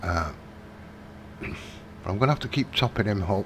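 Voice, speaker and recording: Speaking quietly in a British accent, a man uses a fairly low pitch. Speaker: gaming live streamer. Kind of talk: gameplay live stream chat. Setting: home at night, live stream. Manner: talking quietly.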